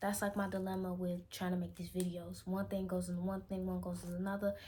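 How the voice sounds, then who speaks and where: Somewhat breathy and with fairly even intonation, the voice has an American accent. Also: woman. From Chicago, Illinois. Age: 20s. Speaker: vlogger. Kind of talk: casual vlog monologue.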